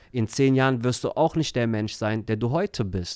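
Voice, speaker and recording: The recording is very clean, with a silent background. A man has a plain, everyday voice at medium pitch and speaks at a moderate pace. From Germany, Turkish family. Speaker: life coach. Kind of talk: casual interview.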